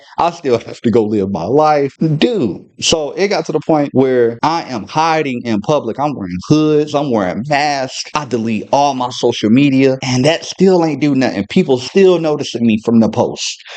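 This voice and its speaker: Speaking at a moderate pace with hardly any pauses, a man uses lively intonation. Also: fairly high pitch for a man. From US South, Charlotte, North Carolina. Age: 20s. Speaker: YouTuber telling personal story. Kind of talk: story time, casual monologue to camera. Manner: casual, animated.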